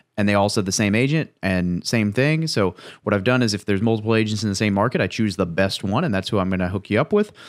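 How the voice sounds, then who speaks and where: Very fast and very even in loudness, a man talks with ordinary pitch variation in a very clean recording with a silent background. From US Midwest. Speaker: podcast host, military veteran. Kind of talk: interview.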